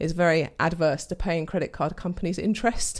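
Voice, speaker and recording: A woman speaks in a London accent in a very clean recording with a silent background. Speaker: entrepreneur. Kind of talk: casual interview.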